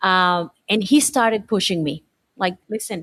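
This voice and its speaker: In a dry, close sound with no echo, a woman with a Spanish accent speaks at a moderate pace, her pitch medium with ordinary variation. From Colombia. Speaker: teacher. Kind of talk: interview. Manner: halting, frequent repetitions and fillers.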